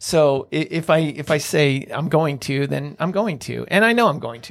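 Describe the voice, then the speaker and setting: A man's normal speaking voice, fairly high in pitch, with ordinary pitch variation and a fairly slow pace. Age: 50s. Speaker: real estate investor. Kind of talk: interview.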